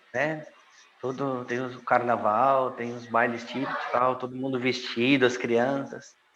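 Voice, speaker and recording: A man speaks at a medium pitch and fairly slow pace, his calm tone held in a monotone, flat intonation with audible room echo. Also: big swings in loudness. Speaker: former expatriate in Italy. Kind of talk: casual interview. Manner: slow, calm, soft-spoken.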